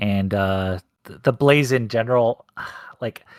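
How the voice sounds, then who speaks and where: This man has a slight Canadian accent. His pitch is medium, with ordinary pitch variation. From Canada, Ontario near Hamilton. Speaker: competitive gamer. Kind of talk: post-match interview. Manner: halting, many restarts.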